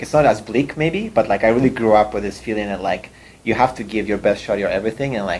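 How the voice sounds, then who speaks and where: With a Russian accent, a man speaks at a fairly low pitch. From Russia, moved to Canada at fifteen. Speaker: startup CEO. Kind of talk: interview talk. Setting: room with audience.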